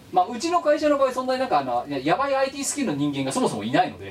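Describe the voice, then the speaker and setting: A man speaks at a high pitch with very wide swings. Noticeable background noise runs beneath him. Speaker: podcast co-host. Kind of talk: casual chat. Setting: remote recording over voice chat. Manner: animated. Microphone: poor audio, parts hard to hear.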